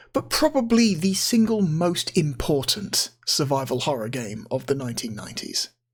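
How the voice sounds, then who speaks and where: Speech unfolds at a moderate pace. Music plays in the background. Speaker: gaming video host. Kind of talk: casual video commentary. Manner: hesitant, many fillers.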